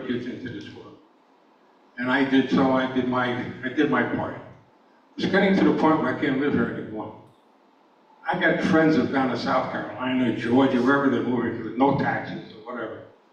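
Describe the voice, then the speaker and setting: A man's medium-pitched voice with an American accent, ordinary pitch variation and big swings in loudness, amid noticeable background noise and audible room echo. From New York. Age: 80s+. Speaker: public forum speaker, retired EMT. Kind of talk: public comment at a town meeting. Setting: school auditorium with audience. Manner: halting.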